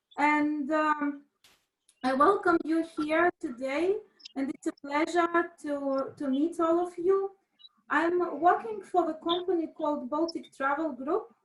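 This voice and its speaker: A woman's extremely high voice at a very slow pace, with ordinary pitch variation. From Latvia. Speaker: event industry manager and lecturer. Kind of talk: webinar presentation. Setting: video call.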